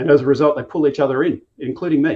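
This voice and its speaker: Speaking at a very fast pace, a man with an Australian accent shows ordinary pitch variation. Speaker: company co-founder. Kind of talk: interview.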